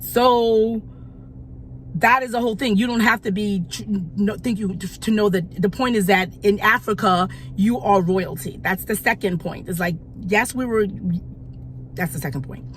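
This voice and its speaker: The speaker talks at a moderate pace with an American accent. Pitch varies in an ordinary way. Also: woman, medium pitch for a woman. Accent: sounds American. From United States. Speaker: YouTube commentator. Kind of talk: opinion vlog commentary. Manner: halting, many repetitions.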